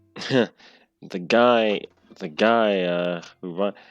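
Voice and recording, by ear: Someone is reading aloud in a natural voice with ordinary pitch variation over a quiet background.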